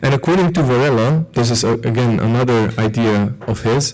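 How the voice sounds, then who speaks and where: A man with a Slovene accent at medium pitch, moderate pace and ordinary pitch variation. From Slovenia. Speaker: philosopher. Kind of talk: lecture. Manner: hesitant, with fillers and repetitions.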